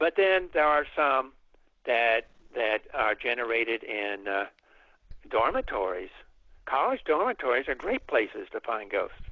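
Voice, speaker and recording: Long pauses come often. This man talks at a fairly slow pace. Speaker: folklorist and author on ghost narratives. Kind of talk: radio interview answer, storytelling.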